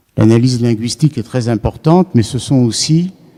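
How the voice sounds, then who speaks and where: A man speaks with a dark, mellow tone at a fairly slow pace. His pitch varies in an ordinary way. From France. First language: Yiddish (speaking French). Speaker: psychoanalyst lecturer. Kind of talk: lecture. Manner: hesitant, many fillers.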